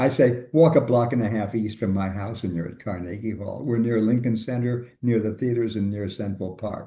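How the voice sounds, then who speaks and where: In a room with audible echo, a man with an American accent speaks at a fairly quick pace. His fairly low voice is dark, mellow and somewhat breathy, with ordinary pitch variation. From US Midwest, suburban Chicago. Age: 80s+. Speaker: labor economist, professor. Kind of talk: interview conversation.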